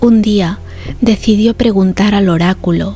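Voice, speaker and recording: Over music in the background, a woman whispers in a calm tone at a very slow pace. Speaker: ASMR narrator. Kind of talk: sleep story. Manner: whispered; slow, calm.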